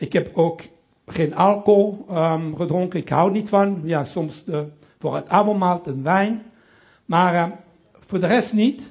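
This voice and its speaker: A man with a strong French accent talks at a very slow pace, with long, frequent pauses. His pitch is high, with ordinary variation. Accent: strong French accent in Dutch. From Belgium, Brussels (Italian family). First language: French (speaking Dutch). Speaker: pastor. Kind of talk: sermon. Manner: halting.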